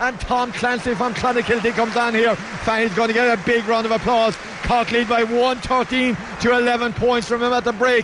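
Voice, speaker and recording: Against noticeable background noise, a man talks in an animated tone at an extremely high pitch with very even loudness. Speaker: radio sports commentator. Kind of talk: live GAA match commentary with a co-commentator, highlights package. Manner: fast, animated and excitable, rising to a pitch at scores and the tense finale; rapid play-by-play, naming players and describing each kick as it happens.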